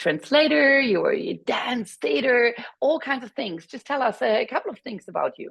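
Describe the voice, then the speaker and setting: At a moderate pace and with a German accent, a woman speaks at a high pitch, showing very wide pitch swings and big swings in loudness. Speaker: webinar moderator. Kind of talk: webinar presentation.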